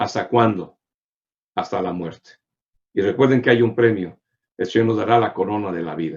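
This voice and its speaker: This man speaks at a medium pitch. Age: 60s. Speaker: pastor. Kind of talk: sermon. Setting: online broadcast via social media.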